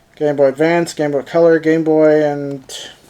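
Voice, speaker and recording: Someone speaks at a fairly slow pace with fairly even intonation, over noticeable background noise. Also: man. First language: German. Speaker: tech reviewer. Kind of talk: product unboxing review. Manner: casual, halting with many fillers.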